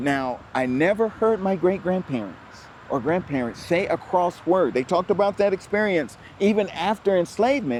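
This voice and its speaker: A man with a high pitch talks at a moderate pace, his intonation lively and his loudness very even. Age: 60s. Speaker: historian, museum founder. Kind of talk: interview.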